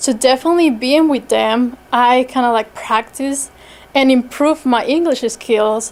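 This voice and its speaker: The speaker talks at a moderate pace with a non-native accent and fairly even intonation. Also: woman. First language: not English. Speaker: toastmasters club member. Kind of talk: impromptu speech. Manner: halting, many fillers.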